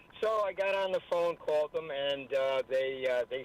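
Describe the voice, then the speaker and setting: The man's voice has a dry, close sound with no echo, with noticeable background noise behind it. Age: 70s. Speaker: caller. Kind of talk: phone-in call on radio.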